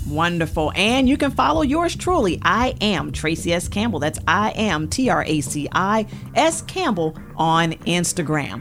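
Noticeable background noise sits under a woman talking fairly slowly. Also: hardly any pauses. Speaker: radio host. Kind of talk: radio talk show. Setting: studio. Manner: warm, upbeat, animated.

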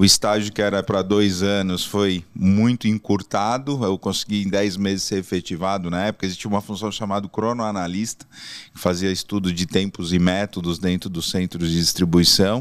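An unremarkable speaking voice belongs to a man with a fairly low pitch and fairly even intonation. He keeps a moderate pace on a very clean recording with a silent background. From São Paulo, Brazil. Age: 40s. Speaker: logistics executive. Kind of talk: interview.

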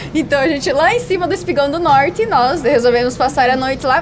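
At a fairly quick pace, a woman with a high pitch and lively intonation speaks over noticeable background noise. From Brazil, western Paraná border region (Medianeira). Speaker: overlanding traveller and doctoral student. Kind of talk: casual interview chat. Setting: exhibition stand at a car meet.

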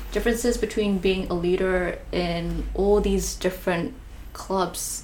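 Over noticeable background noise, a woman speaks at a medium pitch and a fairly slow pace, her intonation fairly even and her loudness very even. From Malaysia. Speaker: podcast host. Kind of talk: casual interview chat.

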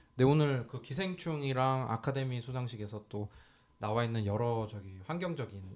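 A man with a normal speaking voice talks fairly quickly at a medium pitch, with ordinary pitch variation. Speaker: podcast host. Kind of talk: casual chat. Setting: studio.

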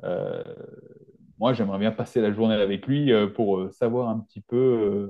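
A man speaks at a fairly slow pace. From rural France. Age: 40s. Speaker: naturopath and nutrition adviser. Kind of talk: podcast interview.

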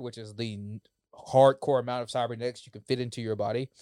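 An unremarkable speaking voice from a man, medium in pitch, at a fairly quick pace, with a dry, close sound and no echo. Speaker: co-host. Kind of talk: casual chat.

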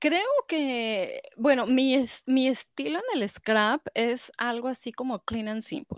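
A woman's high voice at a very slow pace with hardly any pauses, ordinary pitch variation, and a dry, close sound with no echo on a very clean recording with a silent background. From Mexico. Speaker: scrapbooking shop owner and event organizer. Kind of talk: casual chat.

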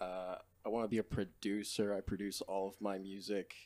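A man's dark, mellow tone, fairly low in pitch, at a moderate pace. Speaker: rapper. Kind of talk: casual chat.

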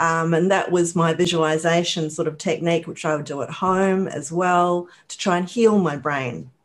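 Speaking with hardly any pauses, a woman with a fairly low pitch keeps a moderate pace and fairly even intonation. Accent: New Zealand. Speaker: rehabilitation counselor and author. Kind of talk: interview.

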